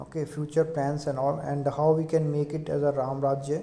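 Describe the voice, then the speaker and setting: Moderate-paced speech in an Indian accent. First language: Hindi. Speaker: lecturer. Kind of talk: lecture. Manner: halting.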